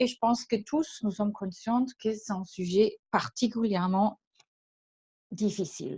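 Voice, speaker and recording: With a slight German accent, a woman speaks fairly slowly in a dark, mellow, somewhat breathy voice, pitched fairly high with ordinary pitch variation, pausing long and often, in a dry, close recording with no echo. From Germany. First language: German (speaking French). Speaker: leadership trainer and consultant. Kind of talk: webinar presentation. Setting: online webinar. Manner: hesitant, many filler sounds.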